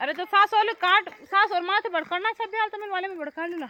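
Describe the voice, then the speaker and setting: A woman's raised, projected voice at a moderate pace. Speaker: vlogger. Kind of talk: casual vlog narration. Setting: outdoors in fields.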